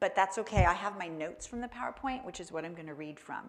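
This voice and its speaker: Vocal fry runs through this woman's medium-pitched voice. Her pitch swings very widely at a fairly quick pace. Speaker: wildlife educator. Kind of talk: educational presentation.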